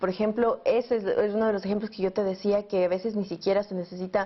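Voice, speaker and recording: In an Ecuadorian accent, a woman speaks fairly quickly at medium pitch with monotone, flat intonation. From Ecuador, Quito. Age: 20s. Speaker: journalist and filmmaker. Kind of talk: interview answer.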